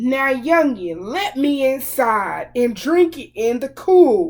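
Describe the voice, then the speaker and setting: A woman performs a put-on character voice, loud and shrill. Her pitch is high and her pace is very slow. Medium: read story. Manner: rude, snappish.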